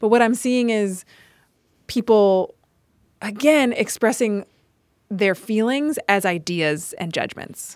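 In a very clean recording with a silent background, a woman with an American accent and a fairly high pitch talks at a very slow pace with long, frequent pauses. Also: ordinary pitch variation. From US South, Charlotte, North Carolina. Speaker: restorative justice specialist and performer. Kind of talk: casual chat.

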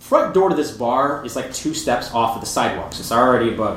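A man talks fairly quickly, his pitch varying in an ordinary way, while noticeable background noise carries on. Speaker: photographer. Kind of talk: storytelling live. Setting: live show with audience.

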